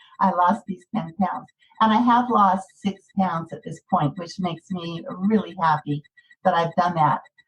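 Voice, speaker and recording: A somewhat breathy woman's voice at a medium pitch, with big swings in loudness. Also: ordinary pitch variation, fairly slow pace. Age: 60s. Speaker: weight loss course participant. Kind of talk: personal testimony in podcast interview. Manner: halting.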